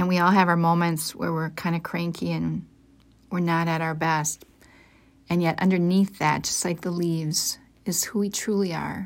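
A woman with a fairly low pitch speaks in a soothing, gentle tone and flat monotone on a very clean recording with a silent background. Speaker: devotional podcast host. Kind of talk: guided meditation. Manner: slow, soft-spoken, soothing and gentle, with unhurried pauses.

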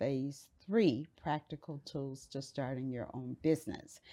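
A woman's dark, mellow tone with an American accent over a quiet background. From Miami, Florida. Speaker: pastor and life coach. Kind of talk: interview conversation.

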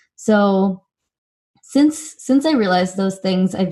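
A woman speaks in an American accent with ordinary pitch variation. Her voice is somewhat breathy. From US West Coast (Silicon Valley, California). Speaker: nonprofit founder and CEO. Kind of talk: interview.

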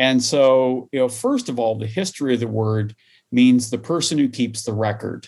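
Medium-pitched man with a Midwestern US accent. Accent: General American, Midwestern. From US Midwest, small-town Iowa. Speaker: higher education administrator. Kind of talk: interview.

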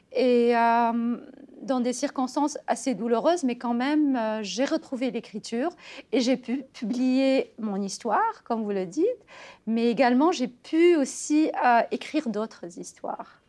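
A dark, mellow tone at a fairly slow pace, with ordinary pitch variation and a quiet background. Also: woman, high pitch for a woman. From Tunisia. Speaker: writer. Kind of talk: interview. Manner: hesitant, many fillers.

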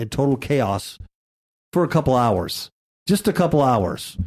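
An unremarkable speaking voice, this man's sits at medium pitch, moving at a moderate pace with lively intonation. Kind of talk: radio dj patter: bantering show host chatting with co-host, teasing, setting up segments. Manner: bantering, wry, sarcastic, conversational.

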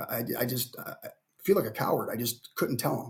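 Speaking at a fairly quick pace, a man with an American accent has a somewhat breathy voice and lively intonation. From Cleveland, Ohio. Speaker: basketball coach and army veteran. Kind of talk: podcast interview. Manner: halting, repeats words.

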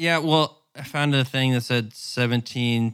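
A man with an American accent talks at a fairly slow pace and fairly even intonation in a normal speaking voice. The recording is very clean, with a silent background. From US South, northwest Arkansas. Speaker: podcast co-host. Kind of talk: casual chat.

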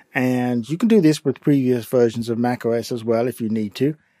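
A man with an English accent talks at a moderate pace and medium pitch, with ordinary pitch variation and a dark, mellow tone. The sound is dry and close, with no echo. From England. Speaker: podcast host, tech tutor. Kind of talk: tutorial. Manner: informal, instructional.

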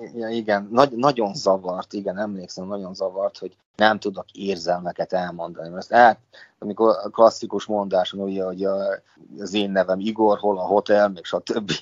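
Speaking with an unremarkable speaking voice, a man talks at a moderate pace in a fairly low pitch, his intonation fairly even but his loudness swinging widely. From Vojvodina, Serbia (Senta). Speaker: molecular biologist. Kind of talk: interview.

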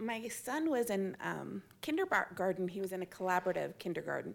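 On a very clean recording with a silent background, a woman speaks at a moderate pace in an ordinary speaking voice with a medium pitch. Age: 40s. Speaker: parent of neurodivergent child. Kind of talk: live panel discussion. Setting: stage with audience.

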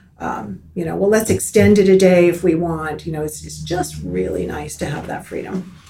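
A woman with an American accent at a moderate pace, with big swings in loudness, noticeable background noise and audible room echo. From US South, Miami, Florida. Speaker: retired teacher. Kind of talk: casual interview. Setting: studio.

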